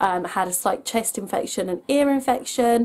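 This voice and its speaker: Her voice has a dark, mellow tone, and the woman's pitch varies in an ordinary way. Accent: English. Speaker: family vlogger. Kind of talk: casual vlog.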